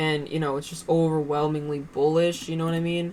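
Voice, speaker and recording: The woman's voice is very deep and low, with monotone, flat intonation. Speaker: day trader streaming live trades. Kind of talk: live trading commentary. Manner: casual, halting with fillers; mumbling to herself.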